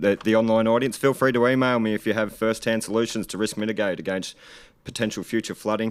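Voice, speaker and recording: Speaking at a very fast pace, a man with an Australian accent uses a medium pitch, recorded very cleanly over a silent background. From Australia, Gippsland, Victoria. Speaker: political candidate. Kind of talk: campaign speech.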